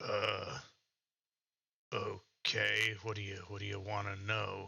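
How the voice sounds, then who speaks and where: Putting on a character voice, a man sounds raspy and fairly low. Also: fairly slow pace. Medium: actual play. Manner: hesitant, halting.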